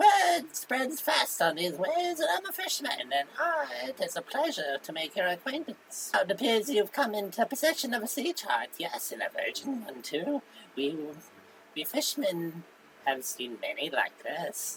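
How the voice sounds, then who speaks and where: A put-on character voice pitched fairly high. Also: moderate pace. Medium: solo performance. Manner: formal, flowery, polite.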